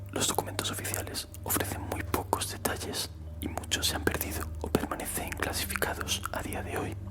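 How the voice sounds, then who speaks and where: Whispering at a moderate pace, the voice sits among noticeable background noise. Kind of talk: whispered ASMR horror story narration. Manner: whispering, soft-spoken.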